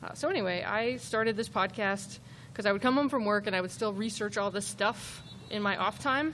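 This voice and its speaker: A woman talks at a fairly quick pace in a normal speaking voice. Her pitch is medium. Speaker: podcast host, former police officer, crime analyst. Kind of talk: live true-crime storytelling. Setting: stage with audience.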